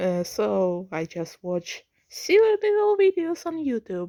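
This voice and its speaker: A woman speaks quietly at a very slow pace. Her tone is dark and mellow. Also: dry, close sound with no echo. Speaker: vlogger. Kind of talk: casual vlog monologue. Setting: at home at night, family nearby. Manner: trying to keep quiet; halting, repeats words.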